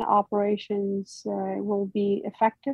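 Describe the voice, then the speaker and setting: A somewhat breathy, medium-pitched woman's voice at a very slow pace. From Iraq. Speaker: military cultural advisor. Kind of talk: interview. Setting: video call. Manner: halting.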